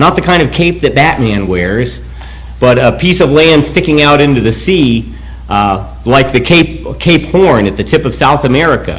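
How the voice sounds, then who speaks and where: A man talks at a moderate pace, and room echo can be heard around his voice. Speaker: pastor. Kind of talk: sermon.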